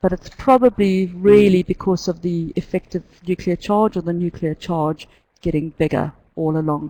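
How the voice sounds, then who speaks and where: In a New Zealand accent, a woman speaks with a dark, mellow tone. Her pitch is fairly low. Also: ordinary pitch variation, moderate pace, dry, close sound with no echo. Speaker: chemistry teacher. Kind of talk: lecture. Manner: halting.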